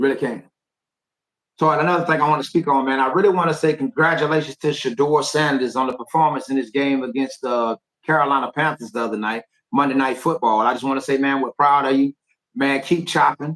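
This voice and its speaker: With an American accent, a man speaks very fast in a fairly high voice, recorded dry and close with no echo. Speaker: youth football coach and streamer. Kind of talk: live stream monologue. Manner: repetitive, stammering restarts; animated.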